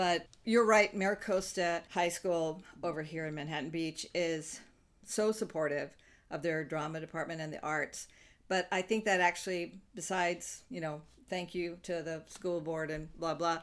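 At a moderate pace, a woman speaks in a plain, everyday voice with a fairly low pitch and fairly even intonation. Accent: American. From US South. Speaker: improv comedian and actor. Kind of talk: interview. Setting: remote interview.

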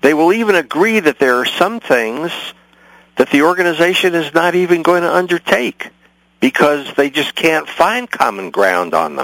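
With an American accent, a man speaks at a moderate pace in a high pitch with lively intonation, the sound dry and close with no echo. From San Francisco, California. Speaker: community organizer and author. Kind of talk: radio interview.

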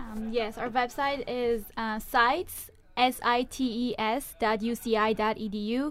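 A woman speaks at a fairly slow pace with a non-native accent. Her pitch is fairly high and her intonation fairly even. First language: not English. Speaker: university student, club vice president. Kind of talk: radio interview. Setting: radio studio. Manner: hesitant, many fillers.

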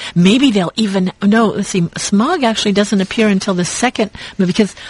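A woman talks at a moderate pace with a medium pitch. Her pitch varies in an ordinary way, and noticeable background noise is present. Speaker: radio co-host. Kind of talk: casual chat. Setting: radio studio.

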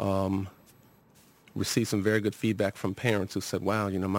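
A man with a very deep, low voice and an American accent, very fast pace, fairly even intonation. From Los Angeles, Southern California. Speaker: university administrator and psychology professor. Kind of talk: radio interview. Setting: radio studio.

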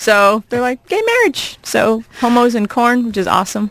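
Noticeable background noise sits behind a woman with an American accent. She talks at a moderate pace in a high pitch. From US Midwest, small-town Iowa. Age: 40s. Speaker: comedian and college teacher. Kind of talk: casual chat. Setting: radio studio.

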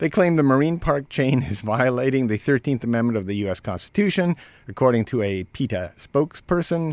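A man with an ordinary speaking voice and a medium pitch talks with lively intonation, recorded very cleanly against a silent background with a dry, close sound and no echo. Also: fairly quick pace. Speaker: radio host. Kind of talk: casual radio banter and news commentary. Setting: radio studio.

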